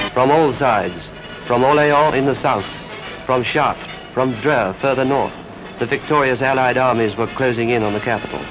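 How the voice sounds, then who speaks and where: A man speaks at a medium pitch with fairly even intonation and very even loudness. Music plays in the background. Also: moderate pace. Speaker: newsreel narrator. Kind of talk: wartime newsreel narration.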